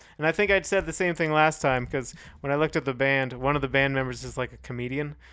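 With an American accent, the speaker moves at a fairly quick pace in a very clean recording with a silent background. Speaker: podcast co-host. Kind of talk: casual chat.

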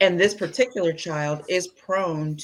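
At a fairly slow pace, a woman with a fairly low pitch talks in an ordinary speaking voice. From US Midwest (Indiana). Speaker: parent guest. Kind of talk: casual chat.

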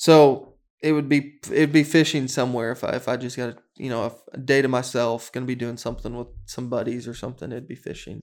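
With an American accent and an unremarkable speaking voice, a man talks at a medium pitch with fairly even intonation and big swings in loudness. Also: fairly quick pace. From Arkansas, US South. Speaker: financial advisor. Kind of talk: interview.

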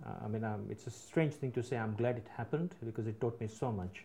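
A man talks at a very fast pace with ordinary pitch variation. His voice is somewhat breathy. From UK, Indian family, born in Africa. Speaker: business leader. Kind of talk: casual interview chat. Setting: his office.

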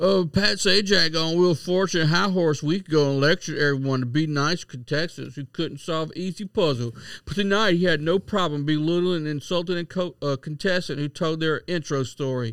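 Someone with a Southern US accent talks at a fairly quick pace with hardly any pauses in a very clean recording with a silent background. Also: man, fairly high pitch for a man, ordinary pitch variation. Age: 40s. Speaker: podcast co-host. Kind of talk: casual chat.

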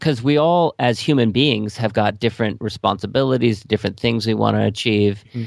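A man at medium pitch, fairly quick and with hardly any pauses, ordinary pitch variation, in a very clean recording with a silent background. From Los Angeles, US. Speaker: attorney and small business advisor. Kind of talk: interview.

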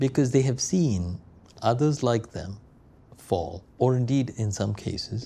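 A man's dark, mellow voice at a fairly slow pace, with lively intonation. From India. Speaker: business school professor. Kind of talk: interview.

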